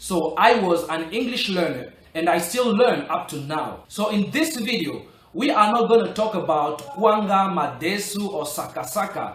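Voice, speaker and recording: Over noticeable background noise and audible room echo, a man talks at a moderate pace with hardly any pauses, his high pitch moving in lively intonation. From Republic of the Congo. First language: French. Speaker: English learning vlogger. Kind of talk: motivational tutorial.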